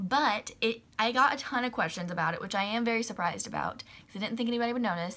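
The woman's tone is bright and sharp. She talks at a very fast pace with ordinary pitch variation. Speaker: vlogger. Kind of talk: casual vlog chat. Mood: slightly nervous, then upbeat. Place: home room.

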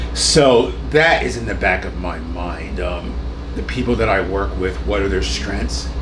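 Against noticeable background noise, a man with a very deep, low pitch speaks at a fairly slow pace with ordinary pitch variation. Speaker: jazz pianist and composer. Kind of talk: casual interview. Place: home room.

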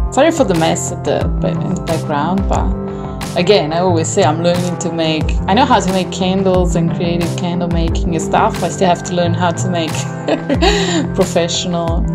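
A woman at a moderate pace, with loud music in the background. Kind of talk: tutorial. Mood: light, self-deprecating, laughing. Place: home room. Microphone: phone near.

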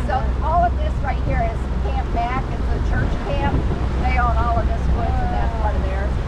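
Loud background noise surrounds speech delivered at a moderate pace. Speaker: local guide on the boat. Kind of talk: casual storytelling tour. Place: boat. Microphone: phone near.

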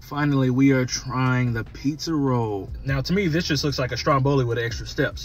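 A man talks at a moderate pace with ordinary pitch variation, in a dry sound with no echo and light background noise. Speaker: food reviewer. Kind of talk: casual food review vlog. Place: car. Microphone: phone near.

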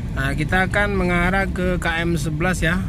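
Loud background noise surrounds the recording. A man talks, and the sound is dry, with no echo. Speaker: bus enthusiast vlogger driving. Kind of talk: casual vlog chat. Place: car.

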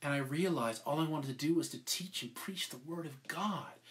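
Somewhat breathy, a man with a fairly high pitch speaks at a moderate pace with ordinary pitch variation. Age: 50s. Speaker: podcast co-host and preacher; pastor. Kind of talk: sermon. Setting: live stream. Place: home room. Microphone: webcam.

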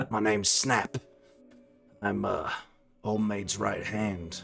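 A man puts on a character voice, fairly low in pitch with fairly even intonation. He goes at a very slow pace as faint music plays in the background.

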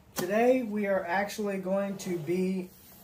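A man talks at a very slow pace with a high pitch. Light background noise sits under his voice. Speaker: product reviewer. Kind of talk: casual unboxing review. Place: home room. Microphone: phone near.

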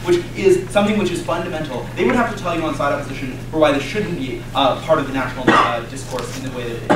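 A man at a very fast pace with hardly any pauses, amid audible room echo and loud background noise. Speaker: speaker. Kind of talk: competitive debate speech. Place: classroom.

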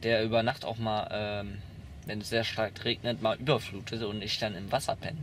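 Light background noise sits behind a man speaking at a fairly slow pace, the sound dry with no echo. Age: 20s. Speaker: young man recounting youth welfare care; interviewee. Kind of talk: interview testimony. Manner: halting. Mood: calm, matter-of-fact. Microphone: camera far.

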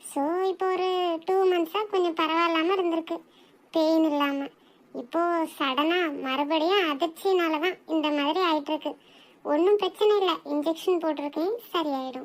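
A woman's cartoonish character voice, extremely high in pitch, fairly slow, with fairly even intonation. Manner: calm, explanatory.

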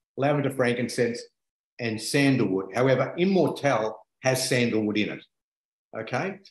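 In a room with audible echo, a man at medium pitch speaks somewhat breathily at a moderate pace, with ordinary pitch variation and long, frequent pauses. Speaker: essential oils presenter. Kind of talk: explanatory talk. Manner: enthusiastic, earnest. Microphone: video call.

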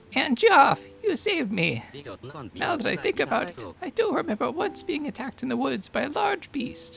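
The voice is a put-on character voice pitched fairly high. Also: moderate pace. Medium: game stream.

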